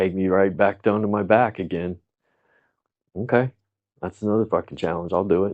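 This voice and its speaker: Male speech with an American accent. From Arizona, US (Tucson). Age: 60s. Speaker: trauma counselor. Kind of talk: casual chat. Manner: animated.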